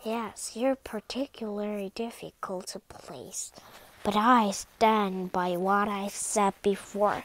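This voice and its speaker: Over a silent background in a very clean recording, a woman does a put-on character voice at a medium pitch and a fairly slow pace. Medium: read story. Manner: smart, assured.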